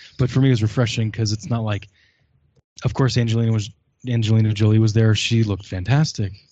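A man's voice comes across somewhat breathy, with a dark, mellow tone. His intonation stays fairly even. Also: medium pitch for a man. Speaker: guest reviewer.

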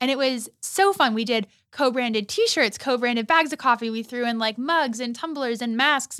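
In an American accent, a woman with a high pitch and a bright, sharp tone speaks at a moderate pace. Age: 20s. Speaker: social entrepreneur, coffee shop founder. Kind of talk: casual interview.

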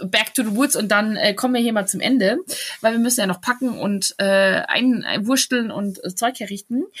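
Moderate-paced speech from a woman in a fairly high register. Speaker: podcast co-host. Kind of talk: casual chat. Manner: laughs a lot.

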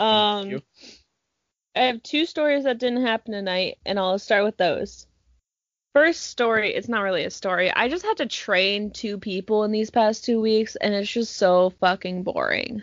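This is an ordinary speaking voice from a woman, pitched fairly high. She talks at a moderate pace with ordinary pitch variation. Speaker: podcast co-host. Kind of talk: casual chat.

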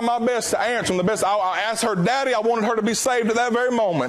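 The speaker has a Southern US accent and talks at a very fast pace with fairly even intonation. Noticeable background noise runs under the voice. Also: man. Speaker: preacher. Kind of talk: sermon.

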